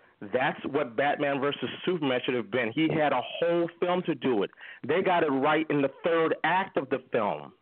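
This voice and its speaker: A man's fairly high-pitched, enthusiastic voice at a moderate pace, with ordinary pitch variation and very even loudness. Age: 40s. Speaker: caller. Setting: phone call.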